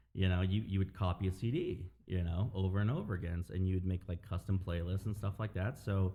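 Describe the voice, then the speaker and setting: The voice is somewhat breathy and runs very fast with hardly any pauses, its intonation fairly even and its loudness very even. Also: man, very deep, low pitch for a man. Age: 30s. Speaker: DJ and record collector. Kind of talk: casual chat. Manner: casual, halting with fillers.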